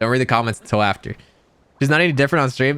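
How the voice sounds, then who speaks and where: A man's bright, sharp tone is marked by vocal fry. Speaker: streamer. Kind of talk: casual livestream reaction. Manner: fast.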